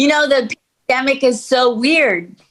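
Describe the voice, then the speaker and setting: Her pitch is high for a woman. She speaks at a fairly slow pace. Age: 70s. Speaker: stand-up comedian. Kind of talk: crowd work comedy on video call. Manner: animated.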